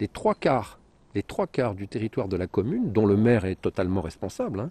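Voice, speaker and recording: A somewhat breathy man speaks in a dark, mellow tone at a fairly low pitch. His pace is moderate with ordinary pitch variation, against a quiet background. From northern France, Compiègne (Picardy). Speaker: wildlife photographer and journalist, author. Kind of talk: interview. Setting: outdoors in a forest. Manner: hesitant, with repetitions.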